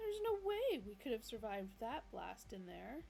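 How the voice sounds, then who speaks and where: A put-on character voice, female-sounding, at a moderate pace over clear background noise. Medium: read story.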